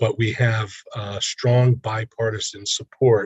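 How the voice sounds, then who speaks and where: A quiet, somewhat breathy male voice, fairly low in pitch, at a fairly slow pace. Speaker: committee member. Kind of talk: committee meeting. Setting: video call from a hospital. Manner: quiet, low voice.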